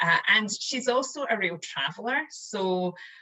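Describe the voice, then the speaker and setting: A woman with a Scottish accent. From Scotland. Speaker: chief marketing officer. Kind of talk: interview answer.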